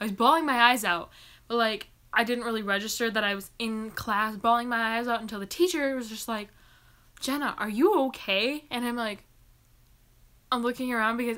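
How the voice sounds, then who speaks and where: On a very clean recording with a silent background, a bright, sharp voice moves at a fairly quick pace with fairly even intonation and long, frequent pauses. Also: woman. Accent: American. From US Midwest, Michigan. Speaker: booktuber. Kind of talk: live Q&A chat. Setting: live stream. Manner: casual, chatty.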